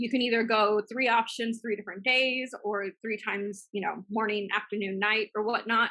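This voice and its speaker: A woman in monotone, flat intonation with hardly any pauses. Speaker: business coach and systems assistant. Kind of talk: webinar training with Q&A. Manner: fast.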